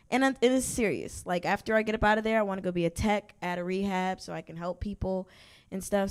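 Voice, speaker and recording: A woman speaks at a medium pitch with an American accent and ordinary pitch variation. The recording is very clean, with a silent background. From Georgia, US South. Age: 20s. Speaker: recovering addict sharing her story. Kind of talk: testimony. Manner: casual, halting with fillers.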